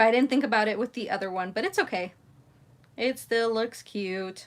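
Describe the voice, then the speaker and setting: A woman's fairly high voice at a moderate pace, with ordinary pitch variation on a very clean recording with a silent background. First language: Spanish. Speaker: crafting YouTuber. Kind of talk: live craft tutorial chat. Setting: livestream.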